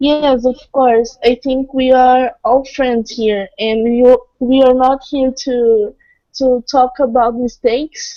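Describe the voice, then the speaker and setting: In a Portuguese accent, a woman speaks at a very slow pace. Her pitch is high, and her intonation is monotone and flat. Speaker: participant. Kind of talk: group video chat. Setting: video call.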